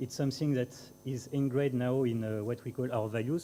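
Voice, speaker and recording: A man speaks with a French accent at medium pitch. His intonation is fairly even. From France. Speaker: aerospace company representative. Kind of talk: conference talk. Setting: conference panel with audience. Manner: halting, many fillers.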